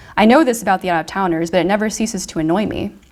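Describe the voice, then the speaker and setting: Soft-spoken, a woman talks at a medium pitch with ordinary pitch variation. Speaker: fiction writer. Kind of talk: reading aloud.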